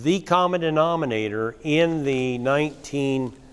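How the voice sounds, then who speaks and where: Noticeable background noise behind a man, his pitch varying in an ordinary way. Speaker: cattle rancher and conference speaker. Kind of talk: conference talk with slides.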